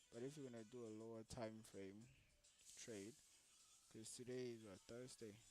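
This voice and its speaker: With music in the background, a man speaks in fairly even intonation, pausing long and often. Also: medium pitch for a man, moderate pace. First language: French, Lingala or Swahili. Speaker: forex day trader. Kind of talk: live trading tutorial. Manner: casual, thinking aloud with hesitations.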